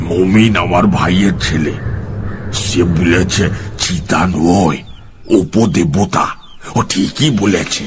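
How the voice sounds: A man puts on a character voice that is very deep and low. He speaks very slowly over clear background noise.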